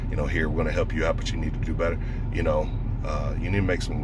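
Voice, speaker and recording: Male speech with noticeable background noise and audible room echo. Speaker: stonemason and dog breeder vlogger. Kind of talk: casual monologue vlog. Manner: fast.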